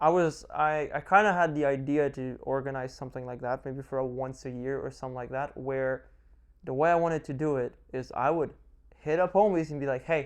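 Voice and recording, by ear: The voice has a clear, smooth tone, a fairly quick pace and fairly even intonation. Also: man, medium pitch for a man.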